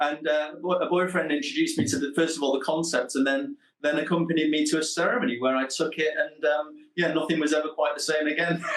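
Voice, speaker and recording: Speaking in a Manchester accent, a man goes at a very fast pace in a fairly high pitch, keeping his intonation fairly even and his loudness very even. Noticeable background noise runs underneath. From northern England, Manchester. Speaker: psychotherapist and researcher. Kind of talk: radio interview.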